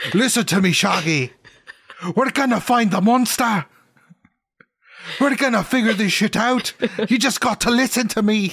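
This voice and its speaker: This is a put-on character voice with a fairly high pitch and a Scottish accent as part of the act. It moves at a moderate pace with long, frequent pauses. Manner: bossy, urgent.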